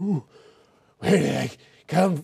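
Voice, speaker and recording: This raspy put-on character voice sits at a middle pitch. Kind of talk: scripted comedy dialogue. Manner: brooding, serious.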